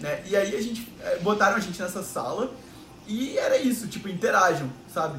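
Over noticeable background noise and audible room echo, a man speaks at a moderate pace with a high pitch and lively intonation. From Rio de Janeiro, Brazil. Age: 20s. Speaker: podcast host, digital artist. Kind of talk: casual chat.

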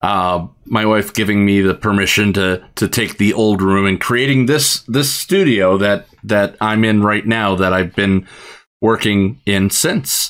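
A man with an American accent talks in an ordinary speaking voice at a fairly low pitch and a fairly slow pace. His loudness stays very even, and his pitch variation is ordinary. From US. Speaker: podcast co-host. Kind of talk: casual chat. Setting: live stream recording.

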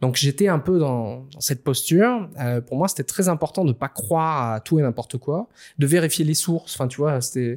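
In a dry, close sound with no echo and a silent background on a very clean recording, a man with a plain, everyday voice speaks at a moderate pace in a fairly high pitch with lively intonation. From Réunion. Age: 30s. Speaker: author and speaker on spirituality. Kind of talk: interview.

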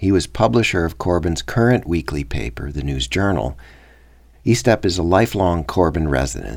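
Vocal fry runs through this moderate-paced delivery with an American accent and very wide pitch swings. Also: man. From Minnesota. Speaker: documentary podcast host. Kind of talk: scripted narration.

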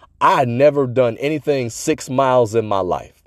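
On a very clean recording with a silent background, a man of medium pitch speaks in an animated tone. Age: 40s. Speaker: fitness podcast host and author. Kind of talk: motivational solo podcast monologue. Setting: solo recording at a microphone.

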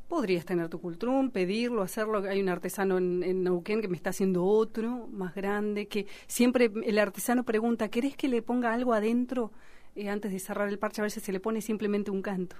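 A normal speaking voice from a woman: medium pitch, ordinary pitch variation, and a fairly quick pace. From Argentina, Bariloche (Patagonia). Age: 40s. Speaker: singer, writer and Mapuche activist. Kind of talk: radio interview.

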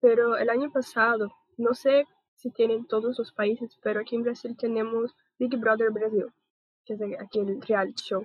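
This woman speaks with a Portuguese accent at a moderate pace. Her fairly high voice stays monotone, with flat intonation. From Brazil. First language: Portuguese (speaking Spanish). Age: 20s. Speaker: podcast host. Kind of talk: casual panel discussion.

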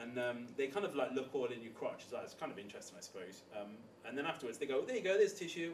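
With very wide pitch swings, a man races along at a very fast pace over noticeable background noise. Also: fairly high pitch for a man. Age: 30s. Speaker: bike shop and bar owner. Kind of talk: casual chat.

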